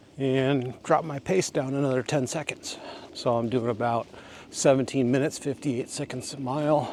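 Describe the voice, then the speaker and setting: A man speaks at a moderate pace with fairly even intonation. He has an unremarkable speaking voice. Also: medium pitch for a man. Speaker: vlogger. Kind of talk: casual walking vlog monologue. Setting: outdoors on a walking trail.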